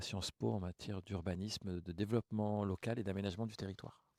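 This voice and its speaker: In a dry, close recording with no echo, a man with a fairly low pitch and a dark, mellow tone speaks at a moderate pace. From Grigny, Essonne, Paris suburbs, France. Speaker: mayor. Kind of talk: interview. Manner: hesitant, many fillers.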